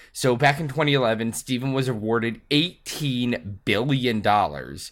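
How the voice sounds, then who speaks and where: A man's medium-pitched voice with vocal fry and lively intonation on a very clean recording with a silent background. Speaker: podcast host. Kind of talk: casual chat.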